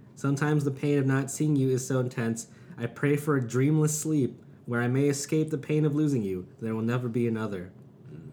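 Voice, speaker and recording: Here is an unremarkable speaking voice from a man at medium pitch. He moves at a fairly quick pace with ordinary pitch variation. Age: 30s. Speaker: podcast host. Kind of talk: casual chat, interview. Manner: joking, laughs often.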